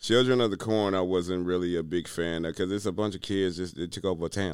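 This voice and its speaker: The background is silent in a very clean recording. A man with a very deep, low pitch speaks very fast. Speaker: podcast guest. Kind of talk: casual chat.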